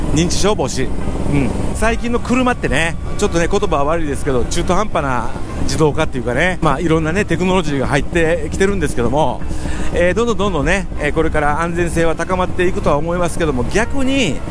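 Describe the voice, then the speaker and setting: Clear music plays in the background as a man with a high pitch speaks at a very fast pace, the sound dry with no echo. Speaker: scooter rider vlogger. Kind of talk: casual vlog chat. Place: motorbike.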